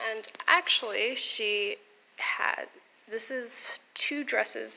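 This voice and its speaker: Background noise is noticeable. Over it, a woman talks. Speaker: theatre costumer. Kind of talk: casual vlog talk to camera.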